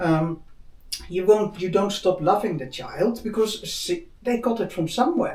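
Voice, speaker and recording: The speaker goes at a fairly slow pace over noticeable background noise. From Netherlands. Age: 60s. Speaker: spiritual talk host. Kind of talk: casual chat.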